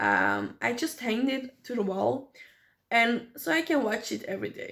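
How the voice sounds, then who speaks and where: A woman with a non-native accent talks at a moderate pace in a high voice with a bright, sharp tone. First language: not English. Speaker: small business owner and vlogger. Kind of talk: unscripted vlog monologue. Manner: halting, with many fillers.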